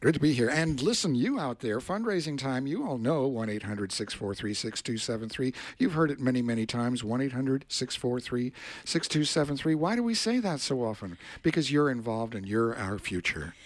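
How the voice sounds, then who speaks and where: The recording is very clean, with a silent background, as a man speaks at a moderate pace and medium pitch. He has an unremarkable speaking voice with lively intonation. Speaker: radio engineer and co-host. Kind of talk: radio fundraising appeal. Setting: radio studio.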